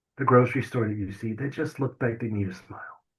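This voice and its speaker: With ordinary pitch variation, an unremarkable speaking voice is heard. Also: man. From US South. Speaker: stroke survivor and author. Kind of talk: testimony. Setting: podcast interview.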